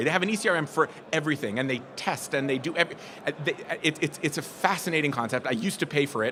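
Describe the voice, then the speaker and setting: Noticeable background noise beneath very fast speech with ordinary pitch variation. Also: man. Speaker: conference speaker on retail sales. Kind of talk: presentation to live audience.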